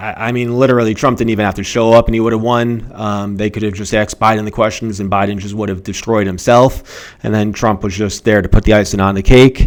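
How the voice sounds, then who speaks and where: Over noticeable background noise, a man with a fairly low pitch talks at a very fast pace in a flat monotone, with hardly any pauses. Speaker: accountant and finance commentator. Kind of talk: casual commentary video. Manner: stammers, many fillers; unscripted, off notes.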